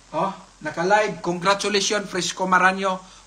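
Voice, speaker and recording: A man's high-pitched voice is raised and projected. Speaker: livestream raffle host. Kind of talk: live raffle stream. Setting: live stream.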